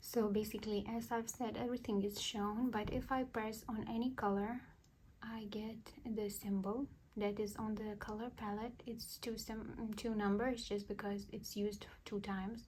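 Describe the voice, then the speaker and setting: A speaker with a non-native accent. The pace is moderate. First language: not English. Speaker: cross-stitch YouTuber. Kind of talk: tutorial. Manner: halting.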